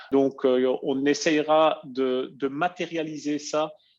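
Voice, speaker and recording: Speaking very slowly with a non-native accent, a man with a fairly high pitch keeps a monotone, flat intonation. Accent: noticeable foreign accent in French. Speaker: software company presenter. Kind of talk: webinar presentation. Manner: halting, many filler hesitations.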